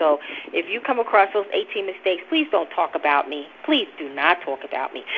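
Speaking in a New Jersey accent at a fairly quick pace, a woman at medium pitch makes very wide pitch swings over noticeable background noise. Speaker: religious teacher. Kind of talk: informal preaching. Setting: recorded teaching session. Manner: fast talker.

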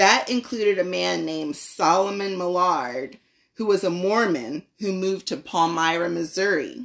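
This woman has an unremarkable speaking voice, pitched fairly low. Her pace is moderate and her pitch varies in an ordinary way. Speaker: guest speaker. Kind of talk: prepared talk or lesson.

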